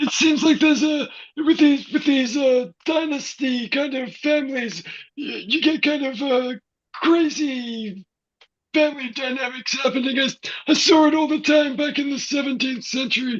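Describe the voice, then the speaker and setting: The voice is put on, a character act. Its pitch is high. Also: moderate pace. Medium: stage play. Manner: hesitant, musing.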